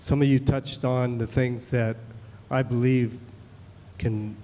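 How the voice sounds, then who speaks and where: Fairly even intonation accompanies a dark, mellow tone. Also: man. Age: 60s. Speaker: audience member asking a question. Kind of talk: public comment. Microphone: too far from the mic.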